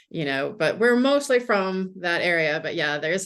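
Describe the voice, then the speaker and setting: With a plain, everyday voice, a woman speaks at a fairly quick pace, with a fairly low pitch and lively intonation. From USA. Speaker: mystery novelist. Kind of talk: interview.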